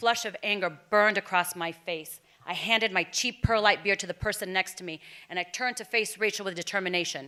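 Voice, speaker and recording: A woman's bright, sharp tone at a fairly quick pace with ordinary pitch variation. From Texas and Mexico (Morelia area). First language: Spanish. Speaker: storyteller. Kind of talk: personal storytelling performance.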